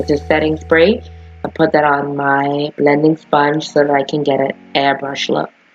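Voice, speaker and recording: Music plays in the background as the speaker talks at a fairly slow pace in a monotone, flat intonation. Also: woman. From Bahamas. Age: 20s. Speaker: makeup tutorial host. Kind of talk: makeup tutorial talk to camera. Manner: casual, profane.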